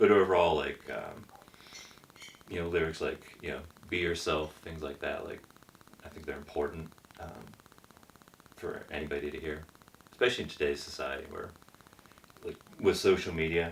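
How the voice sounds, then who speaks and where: A quiet man with an American accent speaks at a moderate pace. Noticeable background noise is present. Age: 40s. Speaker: rock band member. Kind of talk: casual interview chat.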